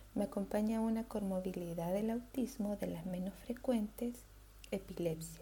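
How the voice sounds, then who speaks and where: The voice has a dark, mellow tone, a somewhat breathy quality and ordinary pitch variation, and it moves at a fairly slow pace. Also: woman. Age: 30s. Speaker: podcast host, social worker. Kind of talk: personal monologue.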